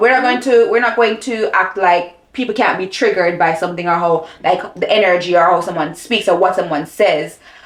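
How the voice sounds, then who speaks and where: Over noticeable background noise, a woman talks at a fairly quick pace with hardly any pauses. Her intonation is lively. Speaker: lifestyle vlogger. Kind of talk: casual chat. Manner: loud when passionate.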